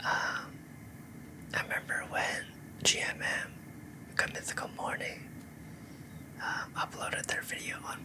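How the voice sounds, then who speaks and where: A whispering voice proceeds at a fairly slow pace while noticeable background noise carries on. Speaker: ASMR creator. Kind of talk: ASMR trigger video talk. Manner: soft-spoken.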